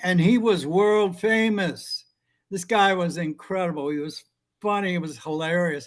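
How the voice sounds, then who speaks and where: The man's voice is high-pitched and his pace is moderate. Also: ordinary pitch variation, quiet background. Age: 80s+. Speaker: former bodyguard telling stories. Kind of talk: interview storytelling. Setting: video call. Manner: halting with many fillers.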